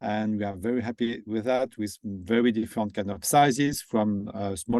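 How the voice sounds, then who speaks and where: With a French accent, a man speaks at a moderate pace and a medium pitch. The sound is dry and close with no echo, over a quiet background. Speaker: company founder and CEO. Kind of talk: webinar presentation.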